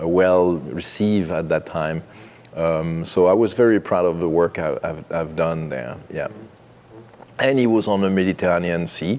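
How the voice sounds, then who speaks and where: Over noticeable background noise, a man with a French accent speaks at a moderate pace in a very deep, low pitch with ordinary pitch variation. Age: 50s. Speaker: winemaker. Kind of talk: oral history interview. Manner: halting, many fillers.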